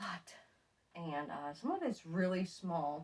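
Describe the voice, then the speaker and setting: A woman speaks with a very deep, low-pitched voice. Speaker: fiber farmer and knitting vlogger. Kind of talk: casual video podcast show-and-tell. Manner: hesitant, many fillers.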